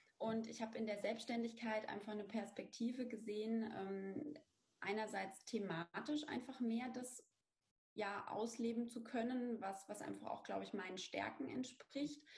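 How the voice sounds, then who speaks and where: A somewhat breathy woman's voice, fairly high in pitch, with ordinary pitch variation. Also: moderate pace. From Bavaria, Lower Franconia (near Aschaffenburg). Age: 30s. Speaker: brand strategy consultant, business owner. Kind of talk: interview.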